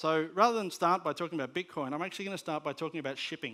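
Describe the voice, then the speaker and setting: Bright and sharp in tone, a man's fairly high voice shows ordinary pitch variation. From Australia. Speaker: conference speaker on media technology. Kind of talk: conference presentation. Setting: stage with audience. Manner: hesitant with many fillers and repetitions.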